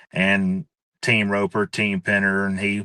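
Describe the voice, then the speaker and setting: A loud man's voice, fairly low in pitch, with a bright, sharp tone, ordinary pitch variation and a fairly slow pace over a quiet background. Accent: Mississippi. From US South, Hattiesburg, Mississippi. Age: 30s. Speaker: livestock and horse sale announcer. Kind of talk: podcast interview.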